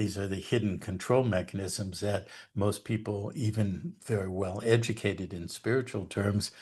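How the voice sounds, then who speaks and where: A man speaks at a moderate pace in a fairly low, somewhat breathy voice with fairly even intonation. The background is quiet. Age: 70s. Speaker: researcher and educator on law and history. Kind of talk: interview monologue. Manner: hesitant fillers.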